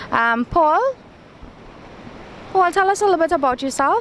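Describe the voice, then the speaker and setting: A woman at a fairly quick pace with lively intonation, over noticeable background noise. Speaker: TV presenter. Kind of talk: interview.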